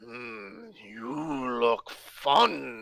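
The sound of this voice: A man puts on a character voice that is raspy and rumbling. His pitch sits in the medium range.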